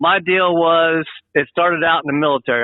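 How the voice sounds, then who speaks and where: Using a plain, everyday voice, a man speaks at a fairly quick pace with fairly even intonation. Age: 60s. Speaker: truck driver, military veteran. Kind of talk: interview. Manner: casual, rambling.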